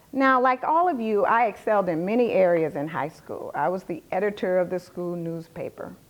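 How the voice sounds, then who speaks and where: A Southern US accent at a moderate pace. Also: woman. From US South. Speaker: finance executive. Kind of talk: lecture.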